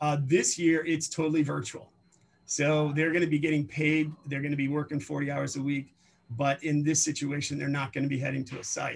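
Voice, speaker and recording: Somewhat breathy and fairly high-pitched, a man speaks at a fairly quick pace in a monotone, flat intonation. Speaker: career program instructor. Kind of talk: informational presentation. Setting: video call. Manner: fast.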